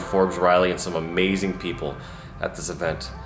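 Clear music plays in the background as a man talks at a fairly quick pace. His pitch is very deep and low, with fairly even intonation. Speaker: entrepreneur vlogger. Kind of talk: casual vlog chat. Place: home room. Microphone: phone near.

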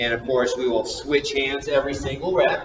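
Audible room echo and light background noise around a male speaker. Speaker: fitness coach. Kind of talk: tutorial. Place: gym. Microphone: camera far.

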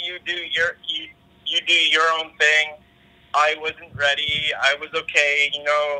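Speaking very slowly in a monotone, flat intonation, a man with a Canadian accent and fairly high pitch is heard over noticeable background noise. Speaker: podcast guest. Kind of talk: casual interview chat. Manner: halting, repeats words.

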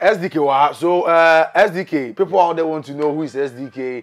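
A man's fairly high-pitched voice at a moderate pace

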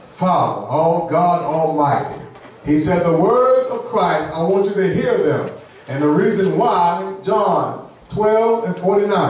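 In a room with strong echo and light background noise, a man speaks at a fairly slow pace with ordinary pitch variation. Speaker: preacher. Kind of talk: sermon. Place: church.

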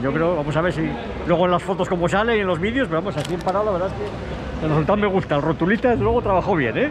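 A man's high voice at a very fast pace with lively intonation, crowd noise behind him. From Spain. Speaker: motorsport commentator. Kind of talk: on-location reporting. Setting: outdoors. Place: hall. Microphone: phone near.

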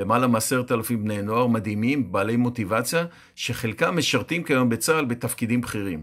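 In a very clean recording with a silent background, a man talks at a moderate pace. His medium pitch has ordinary variation, in an unremarkable speaking voice. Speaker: youth pre-army training educator. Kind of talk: scripted personal column read aloud.

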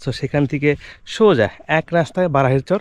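His pitch is fairly high, and this man's voice shows ordinary pitch variation. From Bangladesh, Manikganj. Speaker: travel vlogger. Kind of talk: vlog narration. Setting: outdoors in a mustard field. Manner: halting, many fillers.

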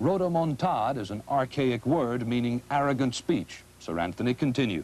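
A man with a plain, everyday voice, medium pitch and lively intonation, at a moderate pace. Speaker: TV news correspondent reporting. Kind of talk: field news report voiceover.

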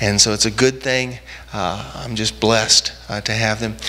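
At a moderate pace, a man delivers his words. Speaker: pastor. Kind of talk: sermon. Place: church. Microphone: handheld.

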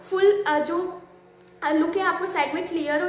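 This woman's voice is extremely high in pitch, with ordinary pitch variation. Her tone is fairly bright.

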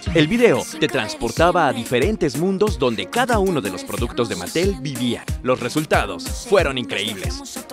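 A man at a moderate pace with hardly any pauses, music playing in the background. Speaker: voice actor. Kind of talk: corporate case study narration.

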